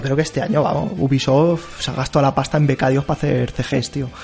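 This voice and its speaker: A man with a Spanish accent, a fairly high pitch and a fairly quick pace, over noticeable background noise. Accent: Peninsular Spanish. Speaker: video game podcast host. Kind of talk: casual chat.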